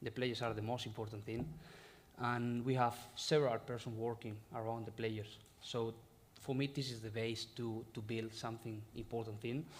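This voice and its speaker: A man with a Spanish accent talks at a moderate pace and medium pitch. His intonation is monotone and flat, and there is audible room echo. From Spain, Galicia. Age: 30s. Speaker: football head coach. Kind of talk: press conference. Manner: halting.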